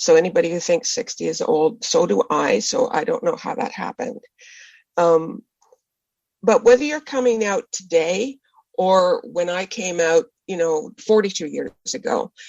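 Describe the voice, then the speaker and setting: Lively intonation marks a woman's medium-pitched voice. She speaks at a moderate pace. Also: dry, close sound with no echo. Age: 60s. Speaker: novelist. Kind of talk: interview. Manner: halting.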